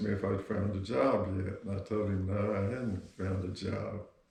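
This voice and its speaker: A man with a Texan accent speaks at a fairly low pitch. His voice is somewhat breathy. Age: 70s. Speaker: grandfather, Vietnam veteran. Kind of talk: interview.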